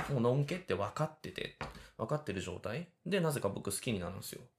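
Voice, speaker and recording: Talking very fast with vocal fry, a man uses a fairly high pitch and very wide pitch swings. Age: 30s. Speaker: podcast host, cooking school student. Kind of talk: casual solo talk while cooking. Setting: home kitchen.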